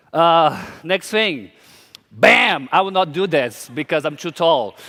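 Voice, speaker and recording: Over noticeable background noise, a man with a Portuguese accent speaks at a very slow pace in a high pitch with lively intonation. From Brazil, small town. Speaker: drag queen designer, conference speaker. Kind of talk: conference talk. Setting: stage with audience.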